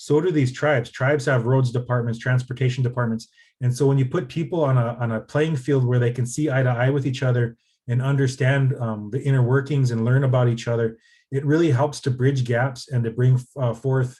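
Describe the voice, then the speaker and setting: A man talks fairly quickly at a medium pitch, his voice somewhat breathy with a dark, mellow tone. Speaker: nonprofit policy advocate. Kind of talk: presentation. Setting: video call. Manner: fast when excited.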